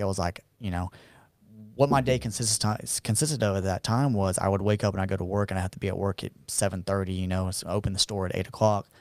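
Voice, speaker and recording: Someone with a Southern US accent speaks at a fairly quick pace with fairly even intonation, on a very clean recording with a silent background. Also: man. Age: 30s. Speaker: barber. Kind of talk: casual interview chat.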